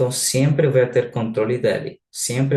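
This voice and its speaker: A man with a non-native accent speaks at a medium pitch, somewhat breathy. His intonation stays fairly even. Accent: noticeable foreign accent in Portuguese. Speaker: software product specialist. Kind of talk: live webinar product presentation. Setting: online live session. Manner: halting, many filler sounds.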